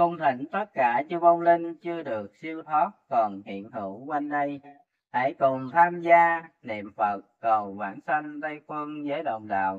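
Over a quiet background, a man speaks at a very slow pace with a fairly high pitch. His loudness swings widely. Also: lively intonation. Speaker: lay Buddhist ritual officiant. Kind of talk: religious ritual address. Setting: at a patient's home with family. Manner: formal. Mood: solemn, reverent. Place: home room. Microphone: phone near.

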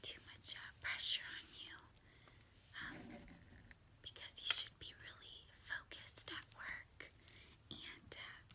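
A woman whispers at a very slow pace. She leaves long, frequent pauses. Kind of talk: role-play monologue to viewer. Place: home room. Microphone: phone near.

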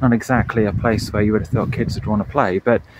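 A man's dry voice with no echo over noticeable background noise. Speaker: bonsai hobbyist vlogger. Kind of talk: casual vlog chat. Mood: storytelling, gruesome local history. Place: open country. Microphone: phone near.

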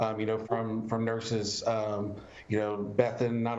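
A man is speaking. His pace is moderate. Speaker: former COVID patient. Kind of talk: personal testimony. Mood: grateful, reflective. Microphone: video call.

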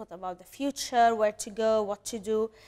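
Over a quiet background, a woman with a fairly high pitch speaks at a moderate pace. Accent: Arabic. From Syria. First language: Arabic. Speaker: refugee cheese business owner. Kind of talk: interview conversation. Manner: hesitant with fillers. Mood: earnest, reflective. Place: studio.

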